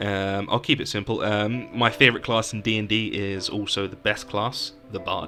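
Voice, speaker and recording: With a fairly low voice, a man talks as music plays in the background. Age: 20s. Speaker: podcast host. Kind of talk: podcast chat.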